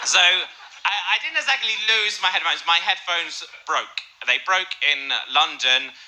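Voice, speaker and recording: A man with an English accent speaks at a high pitch with lively intonation. Noticeable background noise can be heard. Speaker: comedian. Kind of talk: stand-up storytelling.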